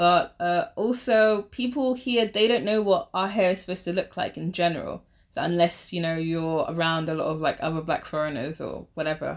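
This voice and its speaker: A woman's fairly low voice in a London accent, moderate pace with hardly any pauses and ordinary pitch variation, on a very clean recording with a silent background. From London, England. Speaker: teacher. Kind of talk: interview. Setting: in person with host.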